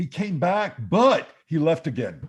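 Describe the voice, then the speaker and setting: Putting on a character voice, a man uses a high pitch. His pace is fairly slow. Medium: stage play. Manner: puzzled, hesitant.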